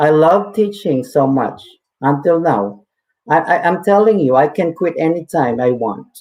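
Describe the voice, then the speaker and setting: This man has a fairly high pitch and a slight Filipino accent, speaking at a fairly slow pace. His loudness stays very even while his intonation is lively. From Philippines. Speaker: teacher. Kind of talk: webinar talk. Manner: halting.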